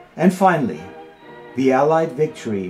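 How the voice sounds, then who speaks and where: Very wide pitch swings at a moderate pace, with music in the background. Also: man. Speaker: filmmaker. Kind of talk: documentary narration.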